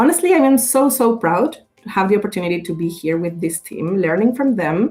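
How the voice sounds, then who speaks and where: With a Spanish accent, a woman speaks at a moderate pace with ordinary pitch variation. Music plays in the background. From Mexico. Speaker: communications professional and radio creator. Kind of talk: podcast interview. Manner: animated, halting with fillers.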